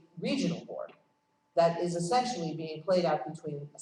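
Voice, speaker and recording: A woman speaks at a fairly low pitch with lively intonation. The room echo is audible. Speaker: conference speaker on foreign policy. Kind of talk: conference talk. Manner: fast.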